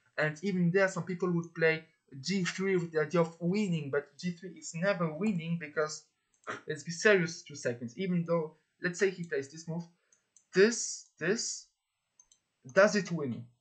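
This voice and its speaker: The speaker has a French accent and a moderate pace. Long pauses come often. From France. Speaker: chess player and coach. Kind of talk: chess tutorial. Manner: hesitant, repeats words.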